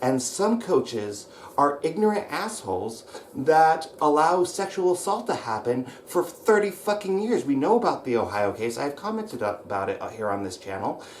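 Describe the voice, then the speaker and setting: Over noticeable background noise, a man speaks in an American accent at a moderate pace. His pitch is fairly high, with very wide pitch swings. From US Pacific Northwest (Roseburg, Oregon). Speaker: wrestling coach / channel host. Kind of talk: angry vlog rant. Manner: shouting; hesitant fillers (um, uh).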